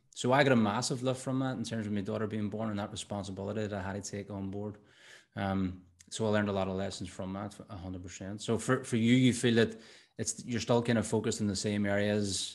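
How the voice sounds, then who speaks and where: A fairly low-pitched man with an Irish accent, very fast pace and fairly even intonation, against a quiet background. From Ireland. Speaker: podcast host and coach; podcast host, coach. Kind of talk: casual interview chat. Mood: reflective, warm. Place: studio. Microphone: studio mic.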